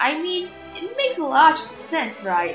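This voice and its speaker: A woman at a moderate pace with very wide pitch swings, music in the background. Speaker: gaming commentator. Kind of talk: video game commentary.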